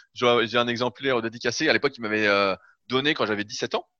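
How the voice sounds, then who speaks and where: A man's medium-pitched, bright, sharp voice at a fairly quick pace, with fairly even intonation, a dry, close sound with no echo and a quiet background. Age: 30s. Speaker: bodybuilding coach. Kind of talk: interview.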